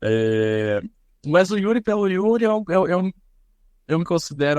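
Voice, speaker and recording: Against a quiet background, a man talks at a fairly slow pace with very wide pitch swings, the sound dry and close with no echo. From interior of São Paulo state, Brazil (São José dos Campos). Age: 30s. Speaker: singer, actor and social media comedian. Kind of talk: podcast interview. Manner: hesitant, repeats words.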